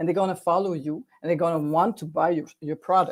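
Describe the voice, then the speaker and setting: A woman speaks in a French accent at a fairly low pitch. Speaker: video coach for authors and businesses. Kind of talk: online workshop presentation. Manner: halting, many repetitions and fillers.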